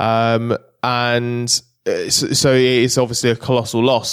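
A man with a British accent speaks at a medium pitch in a monotone, flat delivery, recorded with a dry, close sound and no echo. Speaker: motorsport journalist. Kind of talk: casual chat. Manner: halting.

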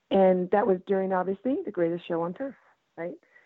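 A woman with a normal speaking voice and a medium pitch talks at a fairly quick pace. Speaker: football fan. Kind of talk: casual chat. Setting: phone call.

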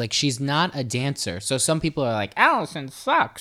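Speaking at a moderate pace, a man with a New York accent has a fairly high pitch and a bright, sharp tone in a very clean recording with a silent background. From New York City, Staten Island. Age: 20s. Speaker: dancer and social media influencer. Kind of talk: casual chat.

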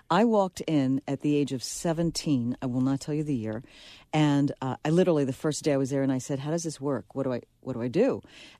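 A dark, mellow tone at a fairly quick pace with ordinary pitch variation, in a very clean recording with a silent background. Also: woman, very deep, low pitch for a woman. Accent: American. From the Bronx, New York. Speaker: radio broadcaster and film producer. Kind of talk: casual interview chat.

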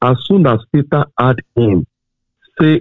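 A man's very slow delivery shows ordinary pitch variation. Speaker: preacher. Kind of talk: sermon. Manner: fervent, exhortative.

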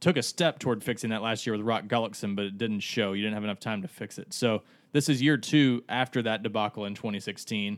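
On a very clean recording with a silent background, a man speaks at a medium pitch in a plain, everyday voice. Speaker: sports journalist. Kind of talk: casual sports chat. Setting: studio.

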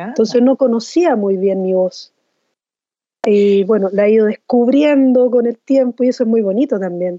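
Speaking at a moderate pace with a Chilean accent, a woman uses a fairly high pitch and ordinary pitch variation. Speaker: singer-songwriter. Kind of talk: interview.

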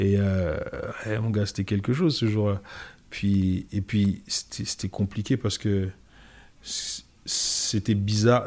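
This man talks very slowly, leaving long, frequent pauses. His pitch is fairly low and his intonation fairly even. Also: very clean recording, silent background. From France, Paris suburbs (Goussainville). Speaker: comedian. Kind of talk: casual chat.

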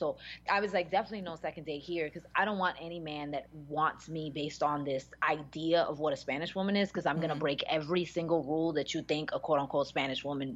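Speaking very fast in an American accent, a woman with a very deep, low pitch shows ordinary pitch variation against a quiet background. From Dominican heritage, US. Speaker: TV after-show panelist. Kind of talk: casual chat. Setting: remote call with delay.

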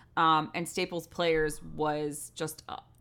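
A woman with a very deep, low pitch, monotone, flat intonation and an American accent. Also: very clean recording, silent background. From US Northeast (Westport, Connecticut). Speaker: theater director. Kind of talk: interview.

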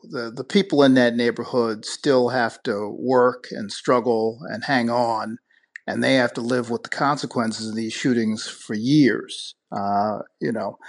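A man with a plain, everyday voice and an American accent speaks at a fairly slow pace and medium pitch, with fairly even intonation, against a quiet background. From Buffalo, New York. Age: 50s. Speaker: attorney and former candidate. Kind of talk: radio interview.

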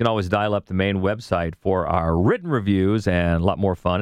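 Fairly even intonation marks a man's speech at a very deep, low pitch. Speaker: film podcast host. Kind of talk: casual chat.

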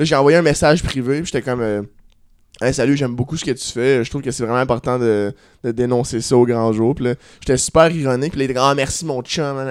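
In a very clean recording with a silent background, a man talks at a fairly quick pace. He has an unremarkable speaking voice, medium pitch and fairly even intonation. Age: 20s. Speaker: comedian. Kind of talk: casual chat.

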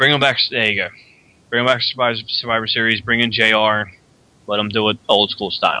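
A man with an American accent speaks fairly quickly in a bright, sharp tone with monotone, flat intonation. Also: medium pitch for a man. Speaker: podcast host. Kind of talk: casual live chat. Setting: live show online.

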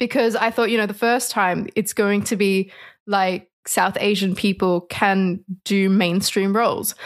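A woman with an Australian accent, at a fairly slow pace, in a monotone, flat intonation and a very even loudness. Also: medium pitch for a woman. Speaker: ecologist, activist and model. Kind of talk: interview.

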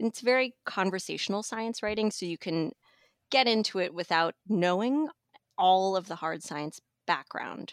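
The recording is very clean, with a silent background and a dry, close sound free of echo. It's a normal speaking voice at a moderate pace with lively intonation. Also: woman, medium pitch for a woman. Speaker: magazine editor. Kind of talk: casual chat.

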